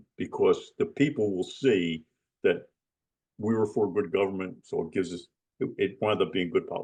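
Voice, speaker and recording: A man speaks with a New Jersey accent. His intonation is lively. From US Northeast, New Jersey. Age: 80s+. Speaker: retired lawyer. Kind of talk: interview. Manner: casual, with many fillers.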